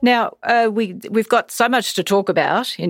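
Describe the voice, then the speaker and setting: Here a woman talks with an Australian accent at a moderate pace. The sound is dry and close with no echo. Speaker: podcast host and political editor. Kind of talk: interview.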